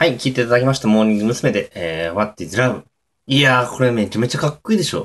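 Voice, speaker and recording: Very fast speech from a man with a medium pitch. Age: 20s. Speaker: amateur podcaster. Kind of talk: casual solo talk. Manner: hesitant, many fillers.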